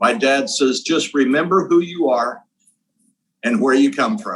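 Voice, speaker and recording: Lively intonation from a man in a Midwestern American accent, at a fairly slow pace. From Indiana, Terre Haute. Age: 70s. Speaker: interviewer. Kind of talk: interview.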